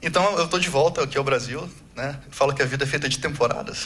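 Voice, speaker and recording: Speech comes at a very fast pace over noticeable background noise. Room echo is audible. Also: man. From Brazil. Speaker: agile coach, conference speaker. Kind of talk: conference talk. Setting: stage with audience. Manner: casual, conversational.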